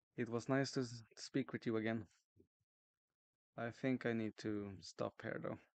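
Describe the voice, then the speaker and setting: A soft-spoken, mumbling man at medium pitch, fairly even in intonation, fairly slow, with long, frequent pauses. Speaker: streamer drawing a webcomic. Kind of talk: casual livestream chat.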